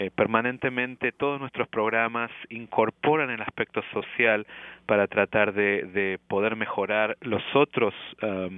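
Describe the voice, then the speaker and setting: A man speaks at a fairly slow pace. His fairly low voice keeps a fairly even intonation. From Argentina, Córdoba. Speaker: family physician and professor. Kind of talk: interview. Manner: halting.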